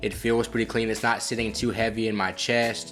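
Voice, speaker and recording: Over noticeable background noise, a man at a medium pitch talks at a fairly quick pace. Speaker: cannabis product reviewer. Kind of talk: casual product review. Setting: studio. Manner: fast; stumbling over words.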